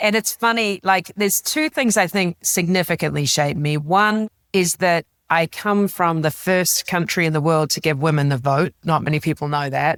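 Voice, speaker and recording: A woman in a New Zealand accent, fairly low in pitch with ordinary pitch variation, very even loudness at a moderate pace, in a dry, close sound with no echo. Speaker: business executive and author. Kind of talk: interview conversation. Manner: animated.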